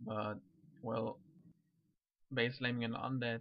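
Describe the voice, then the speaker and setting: A man is speaking. He has a non-native accent. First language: not English. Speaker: gaming commentator. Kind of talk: game commentary. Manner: halting.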